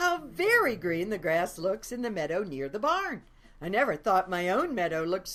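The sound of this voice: The speaker uses an unforced reading voice.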